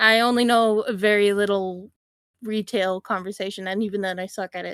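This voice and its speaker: A woman with an American accent, monotone and flat in intonation, with big swings in loudness and long, frequent pauses. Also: dry, close sound with no echo. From Utah. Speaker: singer-songwriter. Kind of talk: casual interview.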